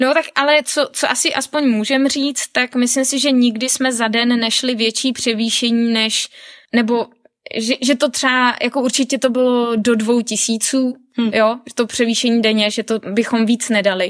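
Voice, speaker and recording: A woman with a high pitch speaks at a moderate pace, her intonation fairly even and her loudness very even. The sound is dry and close, with no echo. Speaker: traveller and hiker. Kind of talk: casual interview.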